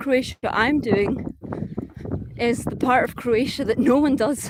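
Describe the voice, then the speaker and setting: A woman speaks with a Scottish accent at a high pitch and with fairly even intonation. Noticeable background noise sits behind her. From Scotland. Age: 30s. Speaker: travel vlogger. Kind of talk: casual vlog talk. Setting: outdoors walking, live stream. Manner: rolled R's.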